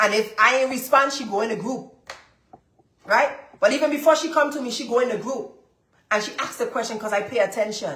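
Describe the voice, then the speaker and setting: With audible room echo, a woman talks in an animated tone at a fairly quick pace, her pitch high, leaving long, frequent pauses. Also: ordinary pitch variation. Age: 30s. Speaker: business coach and lab owner. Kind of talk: live-stream coaching session.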